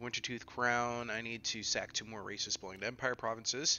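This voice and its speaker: Delivered at a moderate pace, the speech comes in a normal speaking voice. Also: man. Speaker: video game streamer. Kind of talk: live gameplay stream commentary.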